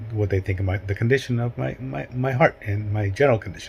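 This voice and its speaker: With ordinary pitch variation, the speech comes fairly quickly in a somewhat breathy voice. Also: man. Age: 60s. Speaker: hiking vlogger. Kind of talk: casual vlog monologue. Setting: at home. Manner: halting.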